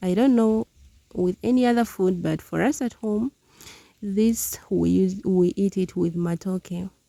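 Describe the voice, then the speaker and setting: A woman with a Ugandan accent speaks at a fairly slow pace in a dark, mellow tone with ordinary pitch variation, the sound dry and close with no echo. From Uganda (southwestern, Ankole). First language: Runyankole. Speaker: village lifestyle vlogger. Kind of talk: casual cooking vlog narration.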